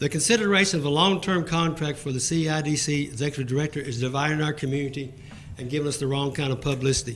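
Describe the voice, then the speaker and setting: Someone with an American accent talks at a very fast pace amid audible room echo. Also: man, fairly high pitch for a man, ordinary pitch variation. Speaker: citizen speaking at public comment. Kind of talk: public comment at council meeting. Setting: council chamber. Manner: formal.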